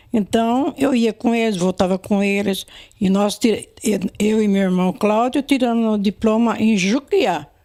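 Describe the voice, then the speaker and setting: A woman speaks at a fairly slow pace in a dark, mellow tone, with ordinary pitch variation, very even loudness and a dry, close sound with no echo. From interior of São Paulo state, Brazil. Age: 80s+. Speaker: elderly former resident. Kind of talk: oral history interview. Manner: halting, with many repetitions and restarts.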